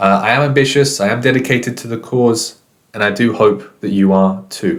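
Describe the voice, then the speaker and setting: With a British accent, a man talks at a moderate pace using lively intonation. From Britain. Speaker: English teacher. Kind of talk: online lesson. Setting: recorded course video.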